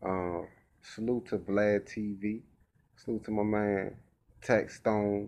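A man with a fairly low pitch talks in a flat monotone at a very slow pace, leaving long, frequent pauses. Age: 30s. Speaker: rapper and vlogger; vlogger. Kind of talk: casual vlog monologue. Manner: casual and conversational. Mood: reflective, relaxed. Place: home room. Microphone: webcam.

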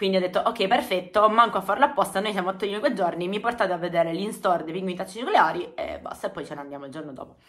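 A woman talking very fast with hardly any pauses, lively intonation and big swings in loudness, over a quiet background. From Apulia, southern Italy. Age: 30s. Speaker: YouTuber. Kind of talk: casual storytelling vlog. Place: home room. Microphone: phone near.

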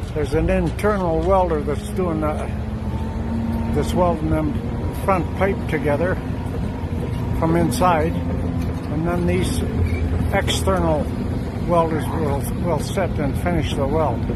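A man speaks at a fairly slow pace with long, frequent pauses, his voice dry with no echo against loud background noise. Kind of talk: casual commentary. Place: open country. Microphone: phone near.

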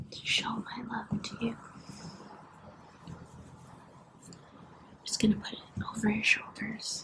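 A woman whispers at a fairly slow pace, her loudness swinging widely. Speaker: ASMR creator. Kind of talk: soft-spoken ASMR role play. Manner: soft-spoken, hushed ASMR voice. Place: home room. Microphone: phone near.

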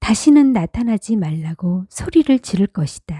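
Calm in tone and dark, mellow, a woman's voice sits at a medium pitch, somewhat breathy. She speaks at a very slow pace in a dry, close sound with no echo. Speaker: audiobook narrator. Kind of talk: reading aloud.

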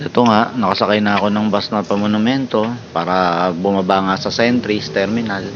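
Noticeable background noise sits behind a man with a fairly low pitch who speaks at a fairly quick pace with fairly even intonation. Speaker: travel vlogger. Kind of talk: vlog narration. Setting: on public transport.

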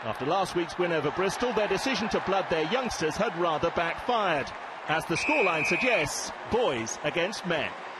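Noticeable background noise sits behind a man with a high pitch who talks at a moderate pace. His intonation is lively and his loudness very even. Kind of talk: sports commentary voiceover. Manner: brisk, polished, authoritative; measured, formal, narrating highlights.

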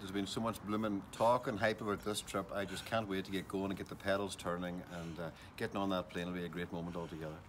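At a very fast pace, a man talks with fairly low pitch and fairly even intonation over light background noise. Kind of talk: interview answer. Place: street. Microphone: phone near.

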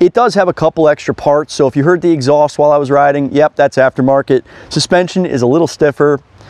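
With an American accent, a man at a fairly high pitch talks at a very fast pace with hardly any pauses, very even loudness and ordinary pitch variation, in a dry sound with no echo. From United States. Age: 30s. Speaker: motorcycle reviewer. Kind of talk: product review. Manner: animated; halting. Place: forest.

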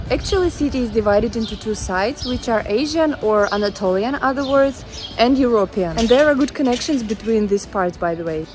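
Over clear music in the background, a woman with a non-native accent talks at a moderate pace and a fairly high pitch, with ordinary pitch variation. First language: Russian. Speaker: vlogger. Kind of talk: casual talk to camera. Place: street. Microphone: earbuds.

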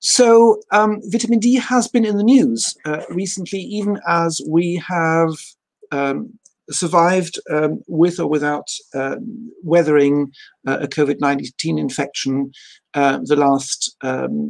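Against a quiet background, a man talks at a very slow pace in a high voice with lively intonation. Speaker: university lecturer presenting. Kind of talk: lecture. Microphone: video call.

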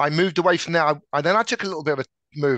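Lively intonation and a bright, sharp tone mark this man's speech in an English accent. The sound is dry with no echo, over a quiet background. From England. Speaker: tech sales director. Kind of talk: interview. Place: office. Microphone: headset.

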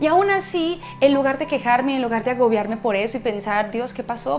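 A woman speaking at a fairly quick pace over faint background music. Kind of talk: testimony talk to a live audience. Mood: warm, emotional testimony. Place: home room.

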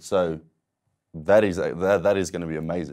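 Against a quiet background, a man talks at a moderate pace in a dark, mellow tone. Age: 20s. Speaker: wheelchair athlete with paraplegia. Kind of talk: interview testimony. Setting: studio. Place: studio. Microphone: lapel.

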